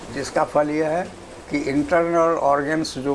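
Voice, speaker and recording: Audible room echo and noticeable background noise behind a man's voice. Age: 80s+. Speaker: retired engineer. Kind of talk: interview.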